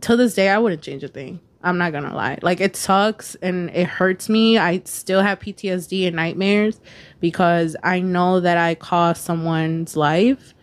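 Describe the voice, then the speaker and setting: Here is an ordinary speaking voice with fairly even intonation at a fairly slow pace. The recording is very clean, the background silent. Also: woman, fairly low pitch for a woman. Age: 20s. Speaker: podcaster. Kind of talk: casual chat.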